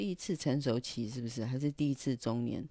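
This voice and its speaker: A woman's dark, mellow tone, dry with no echo, over a quiet background. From Taiwan. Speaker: illustrator and livestreamer; livestreamer. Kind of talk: casual livestream monologue. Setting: livestream. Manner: hesitant, many filler sounds. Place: home room. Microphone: handheld.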